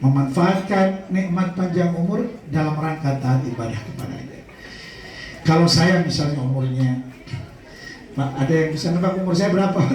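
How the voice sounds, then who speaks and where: Against noticeable background noise and audible room echo, a man speaks at a fairly high pitch and moderate pace with ordinary pitch variation. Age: 40s. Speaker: Islamic preacher. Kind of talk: sermon. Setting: memorial prayer gathering with audience.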